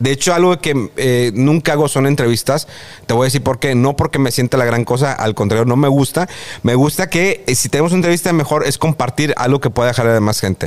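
A man with an ordinary speaking voice, medium pitch, ordinary pitch variation, very even loudness and a fairly quick pace. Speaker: TV presenter. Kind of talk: interview.

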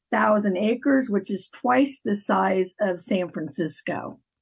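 Over a quiet background, a woman speaks very slowly at a fairly high pitch. Her intonation is lively and her voice somewhat breathy. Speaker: mayor. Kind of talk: interview.

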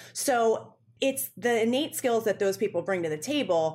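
In an American accent, a plain, everyday voice talks at a moderate pace on a very clean recording with a silent background. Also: woman. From Western Pennsylvania, near Pittsburgh. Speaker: digital media executive, former beauty editor. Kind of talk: interview.

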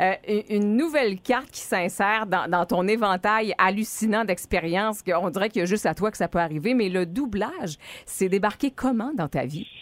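A woman speaks with a Quebec accent and lively intonation. She keeps a moderate pace with hardly any pauses. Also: medium pitch for a woman. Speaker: radio host. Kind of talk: casual morning radio banter. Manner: animated.

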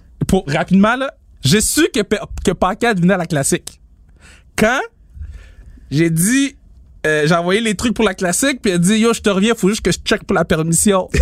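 A man with a Quebec accent speaks at a moderate pace and a high pitch, with lively intonation and long, frequent pauses, in a dry, close sound with no echo. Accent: Québécois French. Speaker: podcast co-host and event promoter. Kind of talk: casual chat.

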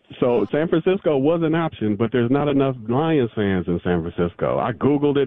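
With an American accent and an excited tone, a man talks at a fairly quick pace with lively intonation over noticeable background noise. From Southern California. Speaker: caller, football fan. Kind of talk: radio call-in. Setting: phone call.

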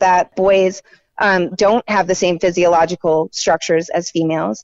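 This woman has a normal speaking voice at a medium pitch. Her pace is moderate. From North Carolina, Raleigh. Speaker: writer and independent journalist. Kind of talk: interview.

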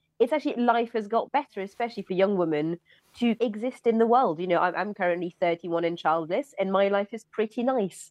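The pace here is fairly quick. It is an ordinary speaking voice with ordinary pitch variation. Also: woman. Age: 30s. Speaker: journalist and author. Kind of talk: panel discussion.

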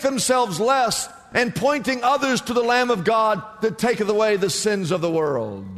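The speaker here is a man. Background noise is noticeable throughout. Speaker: preacher. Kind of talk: sermon. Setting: church. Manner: animated; emphatic, rhetorical repetition.

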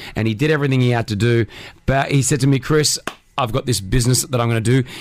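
This man talks very fast, his pitch varying in an ordinary way, while noticeable background noise plays behind him. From Australia. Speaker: radio host. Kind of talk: casual chat. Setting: studio. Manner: animated.

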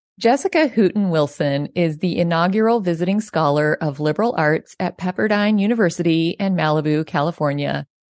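A woman with an ordinary speaking voice talks at a fairly quick pace, her pitch fairly low and its variation ordinary. She hardly pauses, her loudness stays very even, and the sound is dry and close with no echo. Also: quiet background. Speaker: podcast host. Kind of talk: interview conversation.

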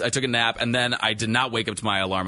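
Very fast speech with an American accent. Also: man. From northern Illinois. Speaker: TV meteorologist. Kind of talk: casual chat.

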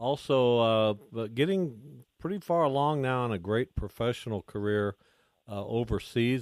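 This man has a medium pitch and ordinary pitch variation. He talks at a moderate pace in a plain, everyday voice. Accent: American. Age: 60s. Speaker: sports radio host. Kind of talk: casual radio talk. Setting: studio.

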